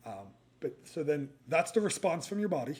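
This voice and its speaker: The man talks at a fairly quick pace. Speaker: running nutrition coach. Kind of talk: casual one-take tutorial. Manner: halting, with fillers and stumbles; casual, unscripted.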